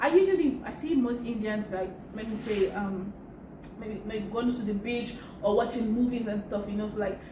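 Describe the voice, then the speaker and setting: A woman's fairly high-pitched voice at a moderate pace, with ordinary pitch variation, audible room echo and noticeable background noise. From Nigeria. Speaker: YouTuber. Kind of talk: casual interview chat. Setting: in person.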